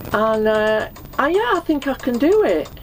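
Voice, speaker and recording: A woman's voice with very wide pitch swings at a fairly slow pace, over noticeable background noise. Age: 60s. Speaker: narrowboat dweller. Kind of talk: casual chat.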